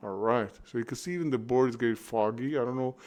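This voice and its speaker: This is a man speaking. His pitch is medium. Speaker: indie game developer. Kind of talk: gameplay walkthrough with commentary. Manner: animated.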